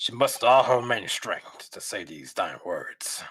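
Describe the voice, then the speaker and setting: A man uses a raspy, put-on character voice at a moderate pace. His loudness swings widely. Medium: virtual streamer. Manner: halting, stammering.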